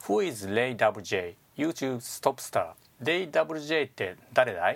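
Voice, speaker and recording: Over a silent background in a very clean recording, a man of medium pitch speaks at a very slow pace with lively intonation. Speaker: business English instructor and podcast host. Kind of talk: tutorial.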